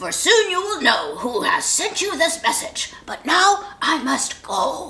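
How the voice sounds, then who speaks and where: In a put-on character voice, the speaker goes extremely high in pitch at a fairly slow pace. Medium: read story.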